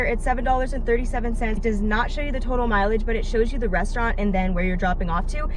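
A woman talks at a very fast pace. The sound is dry with no echo, and there is noticeable background noise. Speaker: delivery driver vlogger. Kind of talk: casual vlog chat. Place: car. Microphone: phone near.

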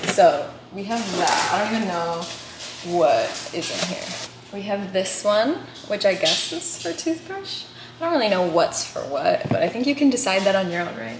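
A woman talks at a moderate speed while noticeable noise sounds behind her. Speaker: vlogger. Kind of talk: casual vlog chat. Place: home room. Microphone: phone near.

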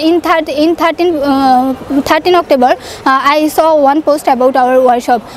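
Against light background noise in a dry setting with no echo, a woman with a Bangladeshi accent speaks at a fairly slow pace in a high pitch with fairly even intonation. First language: Bengali. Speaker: student sharing English learning success story. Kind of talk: testimonial. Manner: halting, hesitant with fillers. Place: open country. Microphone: lapel.

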